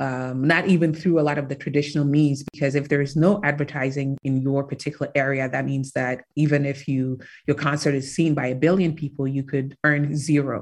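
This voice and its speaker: Against a quiet background, a woman with a very deep, low voice speaks fairly quickly in a flat monotone. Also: hardly any pauses. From Ghana. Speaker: tech company founder. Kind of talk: interview.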